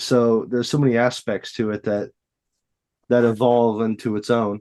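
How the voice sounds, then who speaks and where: A man speaks at a medium pitch and a moderate pace with an American accent. His tone is dark and mellow, and his intonation is monotone and flat. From Western Illinois, USA. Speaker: voice actor. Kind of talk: casual interview answer.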